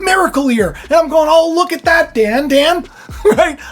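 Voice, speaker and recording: Loud and animated in tone, a man speaks at a moderate pace against noticeable background noise. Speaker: faith video host. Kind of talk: casual spiritual talk. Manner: animated, repetitive.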